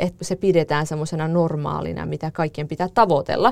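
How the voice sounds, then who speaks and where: A normal speaking voice comes through in a dry, close sound with no echo. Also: woman. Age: 30s. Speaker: podcast host. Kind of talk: casual chat; scripted narration.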